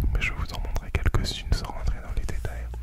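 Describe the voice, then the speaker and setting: A soft-spoken man with a dry sound with no echo amid loud background noise. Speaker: ASMR creator. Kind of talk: soft ASMR chat. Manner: soft, close-mic ASMR murmur. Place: home room. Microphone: studio mic.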